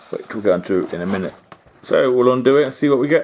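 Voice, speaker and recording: Pitch variation in this man's speech is ordinary. He talks with a British accent. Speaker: model railway YouTuber. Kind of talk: product review. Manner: hesitant, many fillers.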